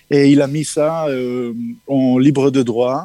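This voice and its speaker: A man's dark, mellow voice with fairly even intonation, dry and close with no echo. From Israel. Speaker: musician. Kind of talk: interview. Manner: halting, repeats words.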